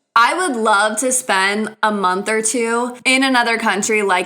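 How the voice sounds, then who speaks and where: With an American accent and a fairly high pitch, a woman speaks in an animated tone at a moderate pace, with audible room echo. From United States. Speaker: podcast host and dance teacher. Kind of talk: casual solo podcast chat.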